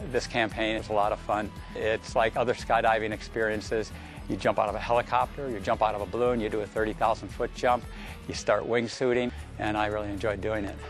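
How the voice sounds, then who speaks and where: A man's very fast, fairly low-pitched speech with fairly even intonation, music in the background. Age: 60s. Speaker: skydiver. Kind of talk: interview answer.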